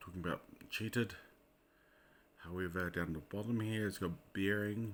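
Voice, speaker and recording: A man speaks with a New Zealand accent. His intonation stays fairly even. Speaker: Bible code researcher. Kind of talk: casual screen-share commentary. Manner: hesitant, casual.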